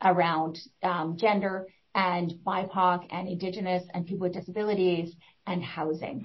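Somewhat breathy, a woman's voice comes across in a passionate tone. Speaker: executive director, social planning council. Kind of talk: panel discussion. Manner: fast talker, passionate.

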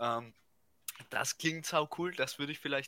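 A man's bright, sharp tone at a moderate pace. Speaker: podcast co-host. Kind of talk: casual chat.

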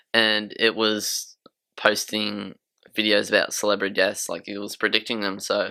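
At a moderate pace and with big swings in loudness, the speaker talks in an Australian accent. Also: man. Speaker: podcast co-host. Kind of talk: casual chat.

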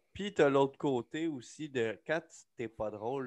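Over a quiet background, the speaker talks at a fairly slow pace in a Quebec accent with ordinary pitch variation. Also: man. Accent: Québécois French. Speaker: podcast co-host, aspiring comedian. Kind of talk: casual chat. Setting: home studio.

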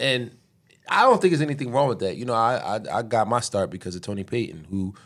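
Speaking at a very fast pace, a man with an American accent comes through on a very clean recording with a silent background. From Philadelphia, Pennsylvania. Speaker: city councilmember. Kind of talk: casual interview conversation.

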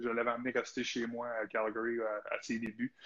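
This voice belongs to a man. Its pitch is medium. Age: 40s. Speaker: retired hockey player and TV analyst. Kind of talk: casual interview.

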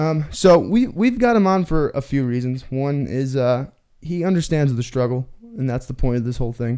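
Lively intonation carries a normal speaking voice at a moderate pace. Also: man, fairly high pitch for a man. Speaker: podcast host. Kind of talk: casual chat.

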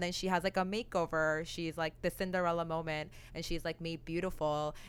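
At a fairly quick pace, a woman speaks in a normal speaking voice at a fairly low pitch. Her intonation is fairly even, and the recording is very clean with a silent background. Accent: Canadian. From Canada (Oakville, Ontario). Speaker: podcast co-host. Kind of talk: casual chat.

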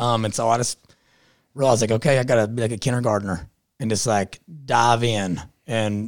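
A man with an Appalachian accent speaks at medium pitch with fairly even intonation in a very clean recording with a silent background. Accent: Appalachian Southern US. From southeastern Kentucky. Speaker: podcaster and political activist. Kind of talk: casual interview chat. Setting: studio in-person. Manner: fast talker.

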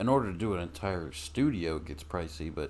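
This man's voice sits at a very deep, low pitch. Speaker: podcast co-host. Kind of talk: casual chat. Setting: home recording with USB mic. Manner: loud.

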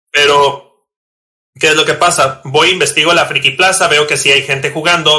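At a moderate pace, the speaker uses a bright, sharp tone with a northern Mexican accent. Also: man. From Mexico, Tijuana, Baja California. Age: 30s. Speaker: competitive Pokémon card player. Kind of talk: casual interview chat. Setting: recording at night.

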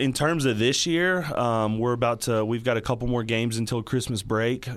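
Recorded very cleanly against a silent background, a man speaks with a Texas accent. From Texas Panhandle, Dumas. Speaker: high school basketball coach. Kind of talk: radio interview. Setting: studio.

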